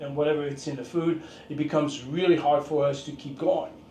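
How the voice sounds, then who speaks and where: Intonation stays fairly even, and the room echo is audible. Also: man. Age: 60s. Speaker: fitness and martial arts instructor. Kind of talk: casual talk to camera. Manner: halting, many fillers.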